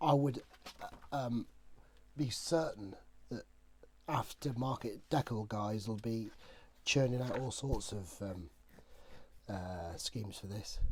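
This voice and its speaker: A man speaks in a relaxed tone at medium pitch, somewhat breathy, with ordinary pitch variation. His pace is very slow, with long, frequent pauses. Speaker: scale model kit reviewer. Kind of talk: casual talk to camera. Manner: relaxed, hesitant with many fillers.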